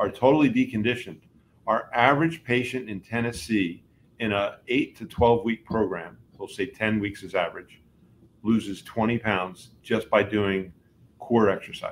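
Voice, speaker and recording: With an American accent, a man talks in an unremarkable speaking voice at medium pitch, keeping a moderate pace and ordinary pitch variation. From New Jersey. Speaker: chiropractor. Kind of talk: interview.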